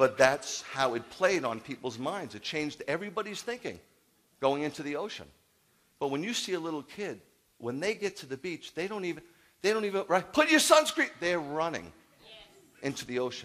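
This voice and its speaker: A man talks in an animated tone at a fairly quick pace with lively intonation. His voice is fairly high in pitch and swings a lot in loudness. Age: 50s. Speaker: rabbi. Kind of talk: sermon. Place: church. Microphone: headset.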